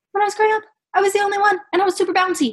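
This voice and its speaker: A raised, projected voice carries an animated tone that is bright and sharp. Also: woman. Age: 20s. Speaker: Paralympic volleyball athlete. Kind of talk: casual chat.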